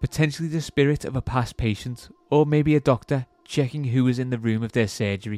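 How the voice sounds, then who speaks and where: A man with an English accent speaks at a medium pitch with a dark, mellow tone. The sound is dry and close, with no echo. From England. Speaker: podcast host. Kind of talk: horror story narration, read aloud in a hushed, suspenseful storytelling voice. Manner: casual, joking banter in between stories.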